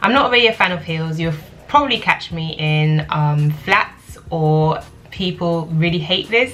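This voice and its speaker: Over noticeable background noise, a woman with a London accent talks in a fairly low pitch. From London, UK. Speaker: lifestyle vlogger. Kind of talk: casual Q&A vlog.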